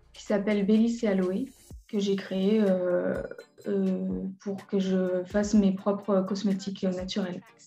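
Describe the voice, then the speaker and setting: A woman at a medium pitch, very slow and monotone with flat intonation, her loudness swinging widely, music in the background and audible room echo. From western France, Mauléon (Deux-Sèvres). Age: 20s. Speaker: young entrepreneur. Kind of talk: interview. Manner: hesitant, many fillers.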